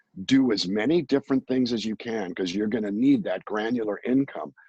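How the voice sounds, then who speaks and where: At a moderate pace, a man with an unremarkable speaking voice and medium pitch uses lively intonation, with a dry, close sound and no echo. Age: 60s. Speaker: singer-songwriter and voice actor. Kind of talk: interview.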